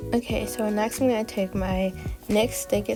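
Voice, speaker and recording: Music sits in the background as a woman talks. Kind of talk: casual makeup tutorial talk to camera.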